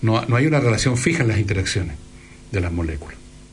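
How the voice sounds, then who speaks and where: A man at a medium pitch speaks with lively intonation through audible room echo and noticeable background noise. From Chile, Valparaíso region. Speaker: radio host. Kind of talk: casual chat; radio monologue.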